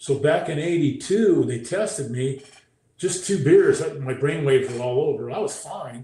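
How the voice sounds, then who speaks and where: Audible room echo surrounds a man whose fairly high voice is somewhat breathy. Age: 60s. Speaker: former pro football player. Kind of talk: interview. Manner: halting.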